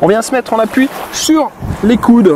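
Here a man is speaking. The sound is dry with no echo, over light background noise. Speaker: fitness instructor. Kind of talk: exercise class instruction. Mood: calm, guiding breathing. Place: beach.

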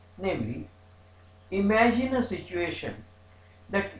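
There is audible room echo as a man speaks with lively intonation. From India. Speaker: law professor. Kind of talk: lecture. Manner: formal. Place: home room. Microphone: webcam.

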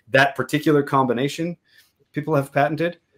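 A man talking at a fairly quick pace over a quiet background. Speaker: drum maker. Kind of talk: casual chat. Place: home room.

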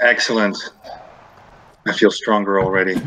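Noticeable background noise sits behind the recording. A man talks at a fairly quick pace. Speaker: voice actor. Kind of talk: casual gameplay commentary.

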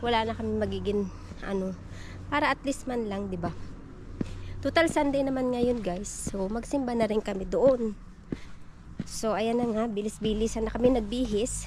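With long, frequent pauses, a woman speaks at a moderate pace and ordinary pitch variation, the sound dry with no echo and background noise noticeable. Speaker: vlogger. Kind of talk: casual vlog chat. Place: garden. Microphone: phone near.

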